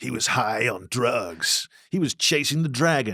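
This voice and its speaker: In a put-on character voice, the speaker sounds gruff and dramatic, moving at a moderate pace with very wide pitch swings. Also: man. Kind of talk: Canadian documentary voiceover. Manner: dramatic narration.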